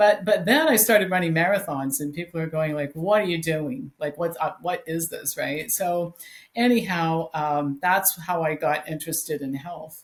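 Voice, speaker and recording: Somewhat breathy and fairly low, a woman's voice moves at a moderate pace with ordinary pitch variation. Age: 60s. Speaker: health author and educator. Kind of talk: interview.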